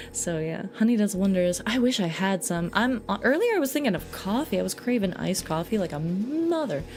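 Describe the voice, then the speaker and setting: With music in the background, a woman speaks at a fairly quick pace and medium pitch, her voice making very wide pitch swings. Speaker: VTuber streamer and cover singer. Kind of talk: casual livestream chat. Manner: animated, many restarts and repetitions.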